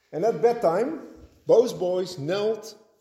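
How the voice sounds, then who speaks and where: A man speaks at a high pitch in a dark, mellow tone. Audible room echo surrounds his voice. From Netherlands. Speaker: pastor. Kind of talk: sermon.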